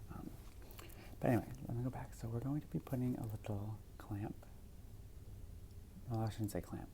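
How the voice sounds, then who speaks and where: Soft-spoken and very fast, a woman talks at a very deep, low pitch with vocal fry and ordinary pitch variation. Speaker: ASMR roleplay performer playing a sleep clinic technologist. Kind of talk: ASMR roleplay, sleep clinic consultation. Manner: soft-spoken, casual, chatty.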